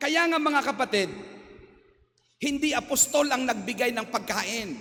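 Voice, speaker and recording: The man's tone is bright and sharp, his voice raised and projected. His intonation is lively. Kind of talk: homily. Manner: loud; animated.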